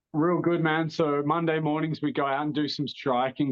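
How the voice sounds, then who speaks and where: Talking at a fairly quick pace, this man has an Australian accent. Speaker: mixed martial arts fighter. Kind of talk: interview.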